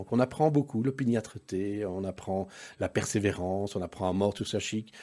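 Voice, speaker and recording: A man talks at a moderate pace in a fairly low pitch with a dark, mellow tone. The recording is very clean, with a silent background. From Brussels, Belgium. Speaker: entrepreneur. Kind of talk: interview.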